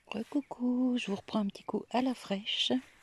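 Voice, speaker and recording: This soft-spoken voice is somewhat breathy and moves at a fairly slow pace. Its pitch varies in an ordinary way. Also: woman. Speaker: gardening vlogger. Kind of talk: casual vlog walkthrough. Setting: outdoors in garden.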